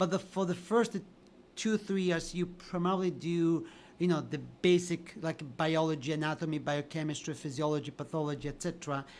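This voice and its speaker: A man with a high pitch speaks at a fairly quick pace, his intonation fairly even. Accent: Italian. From Italy, Sicily. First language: Italian. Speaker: physician and addiction researcher. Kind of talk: podcast interview.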